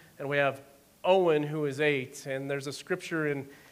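Audible room echo surrounds a man speaking at a moderate pace. His fairly high voice stays in a flat monotone. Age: 40s. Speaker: executive pastor. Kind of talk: sermon.

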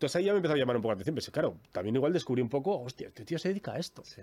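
A man speaks with a dark, mellow tone. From Bilbao, Basque Country, Spain. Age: 40s. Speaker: sound technician. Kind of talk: interview.

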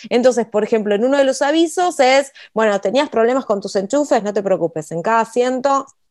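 A woman with a Rioplatense accent talks at a fairly quick pace with lively intonation. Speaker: writer and copywriter, podcast co-host. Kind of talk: casual instructional chat.

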